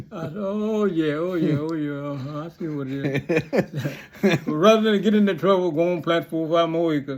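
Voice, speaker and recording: Over noticeable background noise, a man with an American accent and high pitch talks at a moderate pace with ordinary pitch variation. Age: 90s. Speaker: retired pastor and farmer. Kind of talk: casual storytelling. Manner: halting, with false starts.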